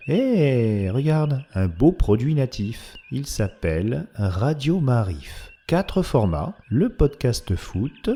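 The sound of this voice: A man speaks slowly with few pauses, his tone dark and mellow with a slightly husky edge. His pitch swings widely. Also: medium pitch for a man.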